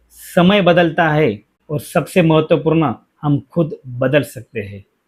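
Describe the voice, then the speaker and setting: His pitch is fairly high and varies in an ordinary way. This man uses a normal speaking voice. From India, Mumbai. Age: 40s. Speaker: safety educator and career guide. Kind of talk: personal reflective monologue. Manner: earnest, motivational.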